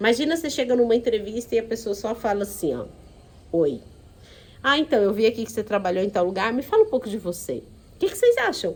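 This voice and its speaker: Lively intonation in a central Brazilian accent, calm in tone, with long, frequent pauses. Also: woman, fairly high pitch for a woman. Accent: Goiás, central Brazilian countryside. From Goiás, Brazil. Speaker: HR consultant and course instructor. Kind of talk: online course lecture. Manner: calm, unhurried.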